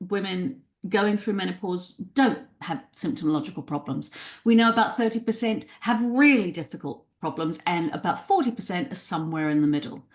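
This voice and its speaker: Against a quiet background, a woman speaks at a medium pitch and a fairly quick pace, her voice somewhat breathy, with very wide pitch swings. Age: 60s. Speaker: psychotherapist and writer. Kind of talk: interview conversation.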